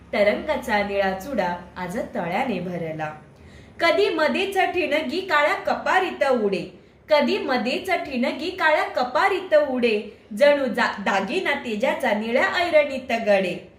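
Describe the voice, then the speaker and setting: Against noticeable background noise, a woman with a non-native accent speaks at a high pitch with very wide pitch swings. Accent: non-native Marathi. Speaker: poet. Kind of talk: poetry reading.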